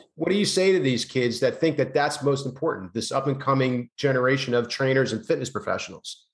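A man talks at a medium pitch with ordinary pitch variation. His pace is fairly quick. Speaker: podcast host, fitness professional. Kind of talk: casual interview. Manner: enthusiastic.

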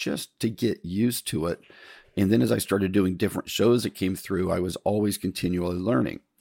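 A man speaks at a moderate pace in a very deep, low pitch with a dark, mellow tone, vocal fry and ordinary pitch variation, recorded very cleanly against a silent background with a dry, close sound and no echo. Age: 60s. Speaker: podcast host, theater technician and lighting sales. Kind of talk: solo monologue podcast. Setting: recorded early morning, solo. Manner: casual, rambling with many fillers.

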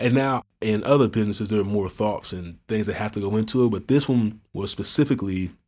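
A man at a fairly low pitch and fairly quick pace, a normal speaking voice with ordinary pitch variation. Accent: American. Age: 30s. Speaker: entrepreneur. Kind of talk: casual chat.

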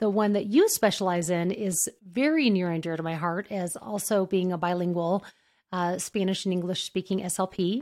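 A woman with an American accent has a plain, everyday voice at a medium pitch with ordinary pitch variation. She speaks at a moderate pace in a very clean recording with a silent background. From New Mexico, US. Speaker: podcast host, speech-language pathologist. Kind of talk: interview, casual professional chat.

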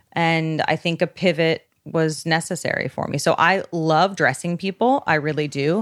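An ordinary speaking voice moves at a moderate pace with hardly any pauses. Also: woman, fairly low pitch for a woman, ordinary pitch variation. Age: 30s. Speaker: stylist. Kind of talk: casual chat.

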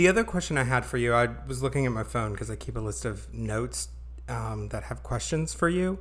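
A fairly quick-paced man with audible room echo. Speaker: podcast co-host. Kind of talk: casual chat. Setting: home, different room. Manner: loud.

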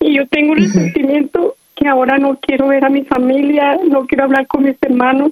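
A woman speaks in a high voice at a moderate pace with ordinary pitch variation and hardly any pauses. Her loudness stays very even, and the sound is dry and close with no echo. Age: 40s. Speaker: radio caller. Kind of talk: personal testimony on call-in show.

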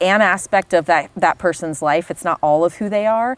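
With an American accent and a normal speaking voice, a woman talks at a moderate pace with ordinary pitch variation in a dry, close sound with no echo. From Florida, US South. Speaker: neurophysiologist. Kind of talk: casual interview conversation. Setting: outdoors by a fire pit.

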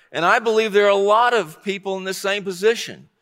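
In a raised, projected voice, a man with a high pitch and a bright, sharp tone talks with fairly even intonation. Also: very clean recording, silent background. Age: 60s. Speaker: pastor. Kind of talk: sermon.

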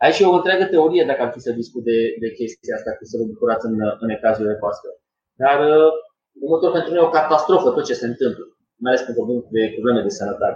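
The delivery is very fast. The intonation is lively. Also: man, fairly high pitch for a man. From Romania, Sibiu. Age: 20s. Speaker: former gymnast and lifestyle coach. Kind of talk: casual interview. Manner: halting.

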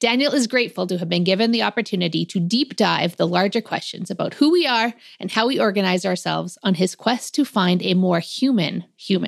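A woman with an unremarkable speaking voice and a medium pitch talks at a fairly quick pace with hardly any pauses and ordinary pitch variation on a very clean recording with a silent background. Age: 40s. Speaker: podcast host, workplace mental health consultant. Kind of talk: casual interview chat; scripted intro.

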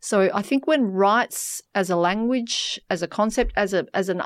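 A woman with an Australian accent and ordinary pitch variation, on a very clean recording with a silent background. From Western Australia (York, country town). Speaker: human rights professor. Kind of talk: interview.

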